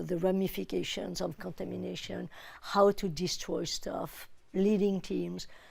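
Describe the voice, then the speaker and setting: A woman with a French accent at a fairly slow pace. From France. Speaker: UN official, disarmament expert. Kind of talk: TV interview.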